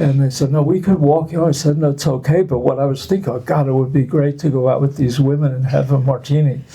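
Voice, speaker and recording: Pitched fairly high, a man races along at a very fast pace with hardly any pauses. His intonation is fairly even, loudness very even, and background noise noticeable. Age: 80s+. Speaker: artist. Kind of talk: casual chat. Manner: halting.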